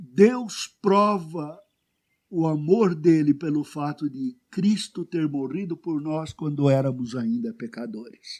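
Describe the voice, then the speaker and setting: This man's voice is fairly high, and his delivery is very slow. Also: lively intonation. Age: 70s. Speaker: pastor. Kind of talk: sermon.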